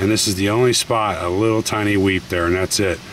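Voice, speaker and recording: The speech moves at a moderate pace. The sound is dry with no echo, and there is light background noise. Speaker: tractor owner selling it. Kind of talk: casual walkaround commentary. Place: farm machine. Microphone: phone near.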